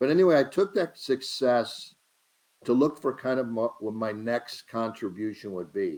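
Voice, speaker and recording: A man at a moderate pace. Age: 60s. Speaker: healthcare entrepreneur, company co-founder. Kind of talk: live stream talk. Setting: live video stream. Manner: halting, with fillers and repetitions.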